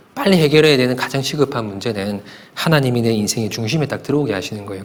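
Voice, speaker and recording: In a room with audible echo, a man speaks fairly quickly with lively intonation. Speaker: pastor. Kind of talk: sermon. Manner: fast.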